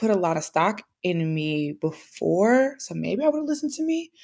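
A woman speaks in an American accent with an animated tone. Her pitch swings very widely. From US Midwest, St. Louis. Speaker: podcaster. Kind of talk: testimony.

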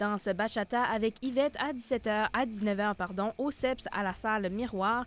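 Speaking at a very slow pace with hardly any pauses, a woman uses a fairly high pitch and fairly even intonation. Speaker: campus radio host. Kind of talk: casual chat; announcements reading.

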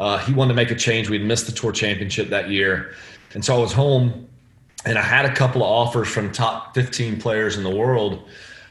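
Over noticeable background noise and audible room echo, a man with an American accent talks at a fairly quick pace with fairly even intonation. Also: medium pitch for a man. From northeast Florida, US. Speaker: golf caddie. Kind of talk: casual chat.

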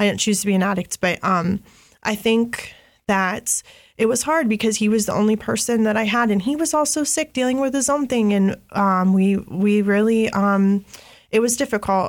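In an American accent, a woman with a normal speaking voice talks at a moderate pace and medium pitch with ordinary pitch variation, recorded very cleanly against a silent background. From Columbus, Ohio. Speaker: person in addiction recovery, nonprofit worker. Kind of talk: testimony.

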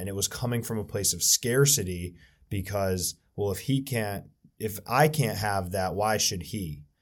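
A man with an unremarkable speaking voice, fairly low in pitch, with ordinary pitch variation and a fairly slow pace, in a very clean recording with a silent background. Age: 20s. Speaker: financial advisor. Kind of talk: casual chat.

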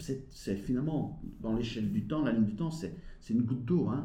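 A man's somewhat breathy, medium-pitched voice with a dark, mellow tone, at a fairly quick pace with ordinary pitch variation. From Belgium. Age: 50s. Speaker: behavior analyst and business coach. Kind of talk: interview.

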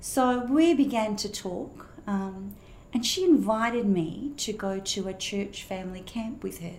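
Amid audible room echo, a woman with an Australian accent speaks with a fairly high, somewhat breathy voice and lively intonation. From Australia, Perth. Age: 60s. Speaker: pastor. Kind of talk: testimony.

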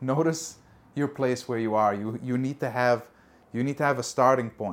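A man's warm, medium-pitched voice at a fairly slow pace, with ordinary pitch variation. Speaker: podcast host. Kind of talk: motivational pep talk, direct address to listeners. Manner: earnest, encouraging, warm, urging the listener on; repetitive, hesitant with fillers.

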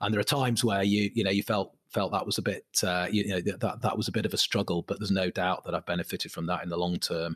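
Hardly pausing, a man with a Mancunian accent speaks very fast, his fairly low pitch held to fairly even intonation. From Manchester, England. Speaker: property company chief executive. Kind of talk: interview conversation.

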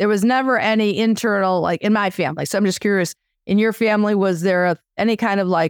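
Speaking at a fairly quick pace with fairly even intonation, a woman has a plain, everyday voice in a very clean recording with a silent background. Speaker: podcast host and therapist. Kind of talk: casual interview.

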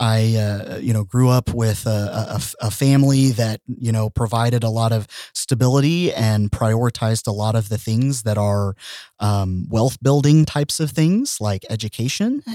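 A man's medium-pitched voice with an American accent, a dark, mellow tone and a dry, close sound with no echo on a very clean recording with a silent background. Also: ordinary pitch variation, moderate pace. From Oklahoma (Tulsa). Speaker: transgender advocate, corporate manager. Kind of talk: casual chat. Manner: halting, many fillers and repetitions.

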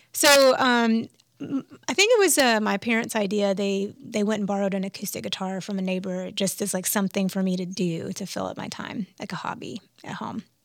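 In a very clean recording with a silent background, a woman uses an ordinary speaking voice at medium pitch, with ordinary pitch variation and a fairly quick pace. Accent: American. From US South, Alabama. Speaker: musician. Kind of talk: interview conversation. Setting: studio.

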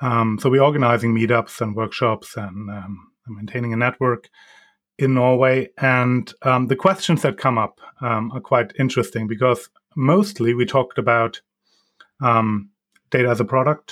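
A man speaks with a German accent at a moderate pace. His pitch is medium, and the recording is very clean with a silent background. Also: ordinary pitch variation. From Germany. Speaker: data governance consultant. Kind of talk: interview. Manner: halting, many ums.

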